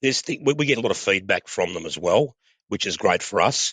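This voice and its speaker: Very fast speech in an Australian accent, dry and close with no echo. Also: man. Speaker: oil company training and sales manager. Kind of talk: podcast interview. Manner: halting, many repetitions.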